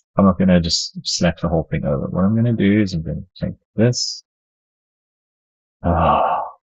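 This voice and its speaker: A man mumbles at a moderate pace in a very deep, low voice with ordinary pitch variation. He leaves long, frequent pauses. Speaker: game developer streamer. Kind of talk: live coding stream. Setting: live stream. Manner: mumbling; halting.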